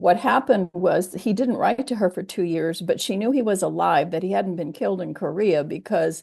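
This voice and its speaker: Over a quiet background, a woman with a General American accent speaks at medium pitch and a moderate pace. Her dark, mellow tone carries vocal fry and lively intonation. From US military bases (Kansas, Germany, California). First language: Japanese. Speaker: theologian. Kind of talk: oral history interview. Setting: video call.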